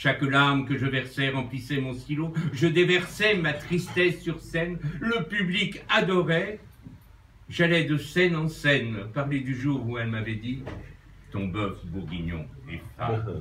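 A man speaks very slowly with big swings in loudness, in a room with audible echo and light background noise. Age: 60s. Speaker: birthday honoree and amateur writer. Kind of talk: reading aloud. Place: bar. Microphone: phone near.

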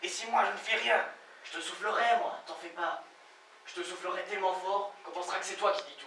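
Light background noise sits under audible room echo. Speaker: stage actor. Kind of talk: theatrical monologue and dialogue. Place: stage. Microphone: camera far.

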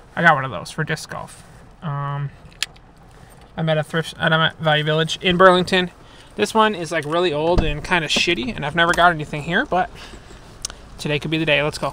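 Over light background noise, a man talks at a fairly quick pace with fairly even intonation in a dry sound with no echo. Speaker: thrift reseller vlogger. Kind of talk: casual vlog chat. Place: car. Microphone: phone near.

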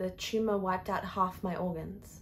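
In an Australian accent, a woman speaks at medium pitch with monotone, flat intonation, her voice somewhat breathy and intense in tone. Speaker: actor performing an audition-style monologue. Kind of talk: dramatic theatrical monologue, confessional and raw. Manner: emotionally intense, building from grief to bitter rage; repetitive, anguished emphasis. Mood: anguished, bitter, rising anger. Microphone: phone near.

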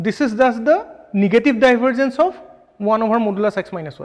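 With lively intonation, a man speaks at an extremely high pitch against a quiet background. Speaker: physics lecturer. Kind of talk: lecture. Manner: fast; halting. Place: classroom.

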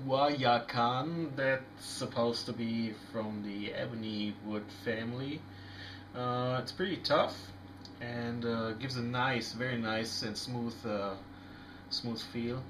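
Amid noticeable background noise, a man with a non-native accent talks very slowly in a fairly even intonation. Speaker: knife reviewer. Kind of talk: casual product review to camera. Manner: hesitant, many fillers.

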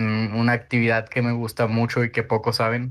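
A man's medium-pitched voice at a fairly slow pace. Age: 20s. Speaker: illustrator. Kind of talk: casual chat. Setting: recorded at night. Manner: halting, many fillers.

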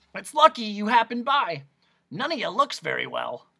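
At a moderate pace, a put-on character voice comes out croaky, raspy and hoarse, with vocal fry, a slightly husky edge, a bright, sharp tone and big pitch swings.

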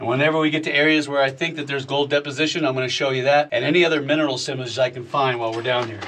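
Speaking at a very fast pace, a man keeps his intonation fairly even while light background noise runs underneath. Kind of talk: explanatory commentary. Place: tunnel cave.

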